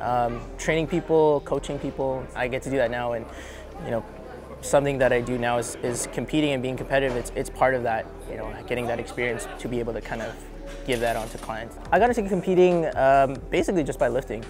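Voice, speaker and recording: Over background music and audible room echo, a man with a Canadian accent talks at a very fast pace and medium pitch, with ordinary pitch variation. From Canada, Winnipeg, Manitoba. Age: 20s. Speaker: powerlifter and personal trainer. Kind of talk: interview. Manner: casual, many fillers.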